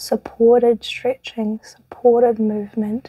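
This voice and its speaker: Speaking in a soft voice at a very slow pace, this person has a New Zealand accent. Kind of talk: casual talk to camera. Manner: soft-spoken.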